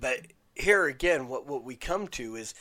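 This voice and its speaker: A man's voice with a bright, sharp tone, vocal fry and very wide pitch swings. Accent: American. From Utah, Salt Lake City. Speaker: podcast host. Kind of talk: solo review monologue.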